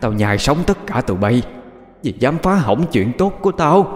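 A man puts on a shrill character voice at a fairly high pitch. His pitch swings very widely at a moderate pace. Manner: menacing, cackling.

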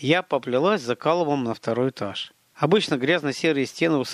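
Behind the voice, the background stays quiet. The reading voice sounds natural.

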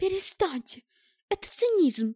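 Using a put-on character voice, a woman speaks at an extremely high pitch with big pitch swings, a dark, mellow tone and a fairly slow pace, recorded dry and close with no echo, very clean, against a silent background.

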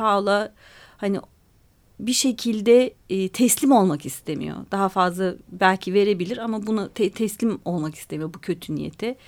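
A woman speaks in a plain, everyday voice at a medium pitch with ordinary pitch variation. The recording is very clean, with a silent background. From Istanbul, Turkey. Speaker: author and journalist. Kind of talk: radio interview.

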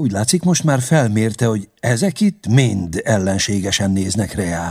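A natural voice reading aloud, its intonation lively

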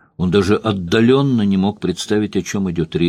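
The pitch moves an ordinary amount in this natural reading voice.

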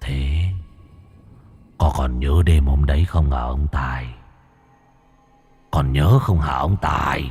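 A man's put-on character voice, very deep and low, at a very slow pace with long, frequent pauses. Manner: eerie, ghostly.

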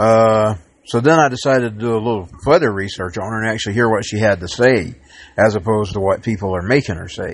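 At a very fast pace, a man with an American accent and a fairly low pitch speaks with ordinary pitch variation over a quiet background. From Georgia, US (Dalton). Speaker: political podcaster. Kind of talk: solo commentary monologue.

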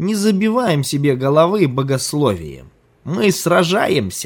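A man puts on a character voice that is fairly high in pitch. It moves at a moderate pace with very wide pitch swings.

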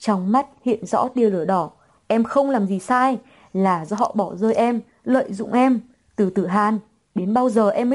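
The pitch moves in an ordinary way through this unforced reading voice.

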